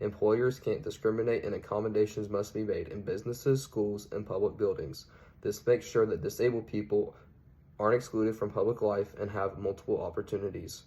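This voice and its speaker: A man speaks with a Southern accent. His pace is fairly quick. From US South (Georgia/Alabama). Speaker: student. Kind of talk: class presentation. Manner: formal.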